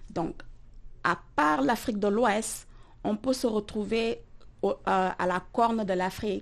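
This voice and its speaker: A woman's medium-pitched voice against a quiet background. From Senegal, Dakar. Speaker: chef. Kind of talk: interview.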